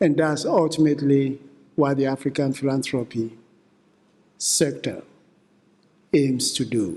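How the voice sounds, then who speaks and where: A man's dark, mellow tone at a fairly slow pace, with ordinary pitch variation and long, frequent pauses. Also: fairly high pitch for a man. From Ghana. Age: 70s. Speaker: philanthropy advisor and keynote speaker. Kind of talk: keynote speech.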